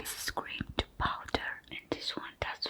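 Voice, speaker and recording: A woman is whispering, and noticeable background noise can be heard. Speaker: makeup artist. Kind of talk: ASMR makeup tutorial voiceover. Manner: whispered.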